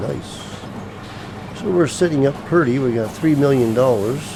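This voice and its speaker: A man talks at a moderate pace with a medium pitch. Audible room echo and noticeable background noise are present. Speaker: gaming video creator. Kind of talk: gameplay commentary. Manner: mumbling to himself; halting, many fillers.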